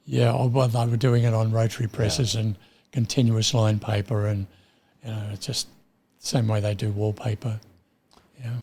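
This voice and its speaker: Somewhat breathy and dark, mellow in tone, a man with an Australian accent speaks at a moderate pace and medium pitch, leaving long, frequent pauses. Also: fairly even intonation. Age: 80s+. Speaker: retired printer. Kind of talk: interview answer.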